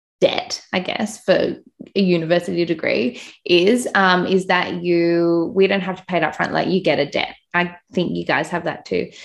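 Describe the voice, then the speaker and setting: A woman with an Australian accent, a fairly low pitch, vocal fry, fairly even intonation and a moderate pace. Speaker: podcast host and business owner. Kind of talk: interview.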